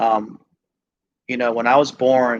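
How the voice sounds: At a fairly slow pace, a man speaks at medium pitch.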